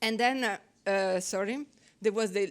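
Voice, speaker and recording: A woman speaks in an Italian accent at a moderate pace, her fairly high pitch showing ordinary variation, on a very clean recording with a silent background. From Italy. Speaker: researcher. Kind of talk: conference presentation. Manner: halting.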